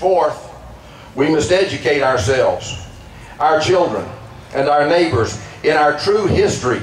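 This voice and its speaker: A man talks at a moderate pace with a fairly high pitch. There is noticeable background noise. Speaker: pastor. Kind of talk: rally speech, rousing political and religious oratory. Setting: outdoor rally to a crowd. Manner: forceful, emphatic, declamatory.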